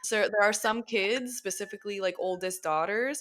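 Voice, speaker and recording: A woman speaks at a fairly quick pace with medium pitch and ordinary pitch variation. Her tone is animated, and the recording is very clean with a silent background. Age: 30s. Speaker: podcast host, former teacher. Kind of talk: casual chat.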